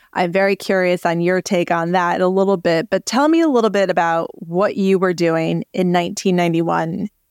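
In a plain, everyday voice, a woman speaks at a fairly quick pace with a medium pitch, fairly even intonation and very even loudness. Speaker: meteorologist podcast host. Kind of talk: casual interview chat.

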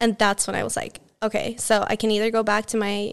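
In a Swedish accent, a woman speaks at a fairly high pitch and a moderate pace. The background is quiet. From Sweden, Borås. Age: 20s. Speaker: fashion entrepreneur. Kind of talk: interview. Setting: office.

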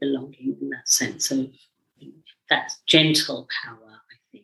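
A woman speaks with a British accent at a moderate pace. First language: Indian language. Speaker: psychologist and mentor. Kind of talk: interview conversation.

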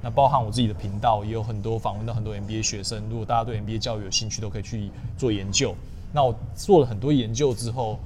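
Over audible room echo, a man speaks at a very fast pace with fairly even intonation. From southern Taiwan, Tainan. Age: 30s. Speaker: finance manager, YouTuber. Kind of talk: interview. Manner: casual, code-switching with English terms.

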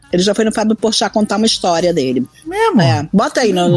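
With music playing in the background, a woman talks very fast at a medium pitch. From Argentina-born, raised in Brazil. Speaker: podcast co-host. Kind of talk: casual chat.

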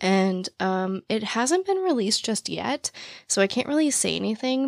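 A woman speaks in a raspy voice with vocal fry and lively intonation. The sound is dry and close, with no echo.

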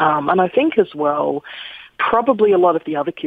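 Someone with an Australian accent talks at a fairly quick pace against noticeable background noise. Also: woman. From Australia, Sydney suburbs. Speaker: children's author and poet. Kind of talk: interview. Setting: phone call.

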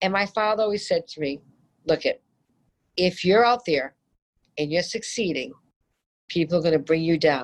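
A woman with a Boston accent and a fairly low pitch talks at a moderate pace with lively intonation and long, frequent pauses. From Boston area, Massachusetts. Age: 50s. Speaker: home builder. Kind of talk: interview. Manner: animated.

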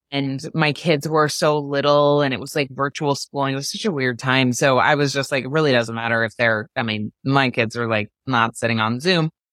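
A woman with an American accent speaks at a moderate pace, her pitch very deep and low with ordinary variation. The sound is dry and close, with no echo. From Maine, US. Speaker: entrepreneur and author. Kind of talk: casual interview chat.

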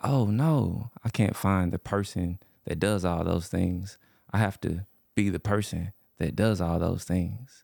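A man speaks with a very deep, low pitch at a fairly slow pace. The sound is dry and close, with no echo. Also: ordinary pitch variation. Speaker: physical therapist. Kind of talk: casual chat.

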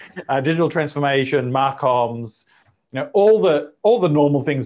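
A man with an Australian accent, medium pitch, lively intonation and a fairly quick pace. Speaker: marketing executive and author. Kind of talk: interview conversation.

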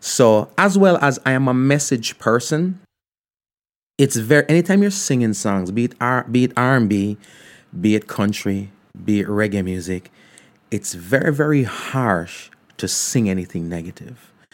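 A man's medium-pitched voice with very wide pitch swings at a moderate pace, on a very clean recording with a silent background. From Jamaica, Ocho Rios. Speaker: radio host and podcaster. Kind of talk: casual interview chat.

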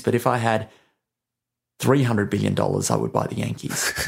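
Here a man speaks with an Australian accent. His pace is very fast. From Australia, New South Wales. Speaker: gambling entrepreneur. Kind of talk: interview. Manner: halting, with fillers.

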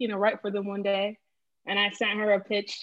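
A woman with a plain, everyday voice, medium pitch, and a fairly quick pace. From Boston, Massachusetts. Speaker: freelance food writer. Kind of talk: casual chat.

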